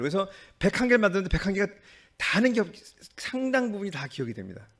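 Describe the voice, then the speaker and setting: A man talking at a very fast pace. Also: long, frequent pauses. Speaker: doctor and hospital director. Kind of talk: conference presentation. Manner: halting.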